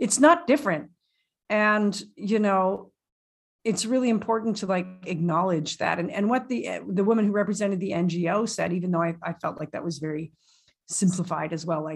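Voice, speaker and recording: Here is a woman with a Canadian accent. Her medium-pitched voice is somewhat breathy. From Canada. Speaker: podcast co-host. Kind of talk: casual chat, recap discussion. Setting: home recording, remote.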